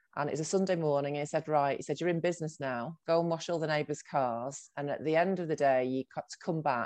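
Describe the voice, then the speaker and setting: A woman with a Mancunian accent talks at a fairly quick pace, her very deep, low pitch showing ordinary variation. The sound is dry and close with no echo, over a quiet background. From Salford, Greater Manchester, northern England. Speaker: agency founder and CEO. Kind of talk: interview.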